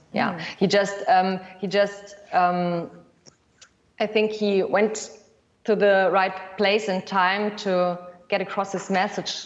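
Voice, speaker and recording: With long, frequent pauses, a woman speaks very slowly at a medium pitch in a flat monotone. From Germany. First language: German (speaking Chinese). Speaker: documentary filmmaker. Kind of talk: interview. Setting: video call.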